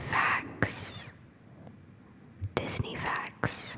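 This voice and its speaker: Through noticeable background noise, a whisper moves at a very slow pace. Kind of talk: ASMR whispered fact reading. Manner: whispered.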